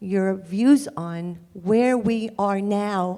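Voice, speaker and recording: A woman speaks at a medium pitch with a dark, mellow tone and a Bronx accent. Her pitch varies in an ordinary way. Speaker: audience member asking question. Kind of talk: audience question.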